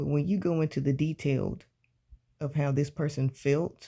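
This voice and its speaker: With a Southern US accent, a man speaks in a fairly high pitch and a dark, mellow tone, somewhat breathy, at a moderate pace with fairly even intonation, in a very clean recording with a silent background. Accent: Southern US, country-sounding. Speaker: book reading channel host. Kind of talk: reading aloud with commentary. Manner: casual, relaxed.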